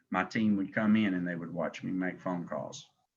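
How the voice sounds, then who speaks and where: A man speaks at a medium speed in a Southern US accent. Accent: Southern country. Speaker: insurance agency director. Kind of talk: sales training call. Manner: animated.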